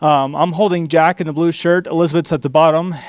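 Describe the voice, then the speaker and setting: A man speaks very fast with a Texan accent. His pitch sits fairly high. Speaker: missionary. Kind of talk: church missionary presentation. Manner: excited, animated.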